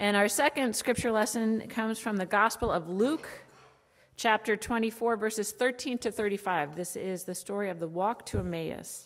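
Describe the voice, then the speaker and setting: Her speech moves at a moderate pace. This woman's pitch rises and falls in an ordinary way. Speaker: pastor leading a children's message. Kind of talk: sermon. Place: church.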